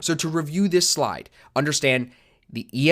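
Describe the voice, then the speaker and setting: Ordinary pitch variation marks the voice in this very clean recording with a silent background. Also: man. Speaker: trading teacher. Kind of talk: tutorial. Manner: fast.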